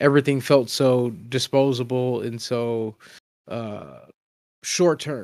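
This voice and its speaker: A man talks at a very slow pace in an American accent. His intonation stays fairly even. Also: medium pitch for a man. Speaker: podcast co-host. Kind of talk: casual chat. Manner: halting.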